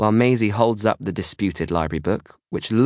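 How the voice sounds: Ordinary pitch variation marks a natural reading voice. Behind it, the background is quiet.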